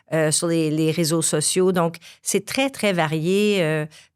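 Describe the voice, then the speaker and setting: Speech comes at a very slow pace with fairly even intonation on a very clean recording with a silent background. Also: woman. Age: 60s. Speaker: graphic design teacher. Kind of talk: podcast interview. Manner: hesitant, many fillers.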